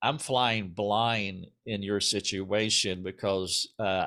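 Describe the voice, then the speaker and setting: With a Southern US accent, a man talks at a fairly low pitch in a bright, sharp tone and fairly even intonation. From US South. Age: 60s. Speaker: interview host. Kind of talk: interview. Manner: halting, many fillers.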